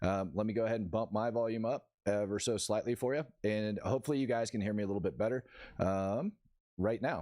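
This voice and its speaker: On a very clean recording with a silent background, a man speaks with a dark, mellow tone, a fairly low pitch and ordinary pitch variation. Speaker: news livestream host. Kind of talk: casual live news commentary. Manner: casual, filler-heavy.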